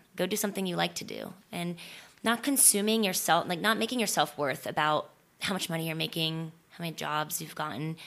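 Fairly quick speech from a woman with a fairly low pitch, vocal fry and lively intonation, on a very clean recording with a silent background. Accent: American. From Florida, small town. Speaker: stunt performer and actress. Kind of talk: casual chat.

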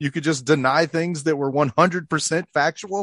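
This man speaks with an American accent at a fairly quick pace, in an ordinary speaking voice pitched fairly high. The sound is dry and close with no echo, over a quiet background. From California. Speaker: radio host and podcaster. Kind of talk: casual chat.

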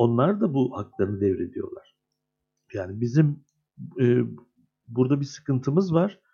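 Pausing long and often, a man speaks at a fairly slow pace in a dark, mellow, somewhat breathy tone with very wide pitch swings. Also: medium pitch for a man. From Turkey, Adana. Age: 50s. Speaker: screenwriter and union head. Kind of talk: interview.

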